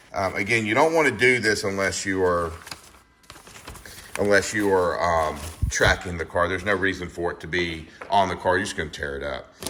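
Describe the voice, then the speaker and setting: Mumbling at a fairly quick pace with long, frequent pauses, a man with a very deep, low pitch and ordinary pitch variation comes through audible room echo and noticeable background noise. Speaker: car YouTuber. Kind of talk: casual tutorial walkthrough. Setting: garage under a car lift. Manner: mumbling, halting with many fillers.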